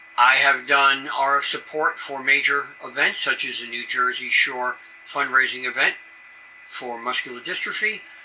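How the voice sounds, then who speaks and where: Moderate pace from an American-accented man, with audible room echo and noticeable background noise. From New York City area. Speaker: amateur radio emergency coordinator. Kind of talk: conference presentation. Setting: conference session with audience.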